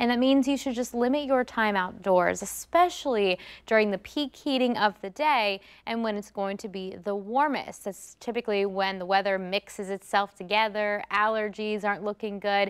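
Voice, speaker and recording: A woman at a moderate pace, upbeat in tone, with ordinary pitch variation, hardly any pauses and a quiet background. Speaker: TV meteorologist. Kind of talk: weather report. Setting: TV studio broadcast. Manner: conversational and upbeat, explanatory. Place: studio.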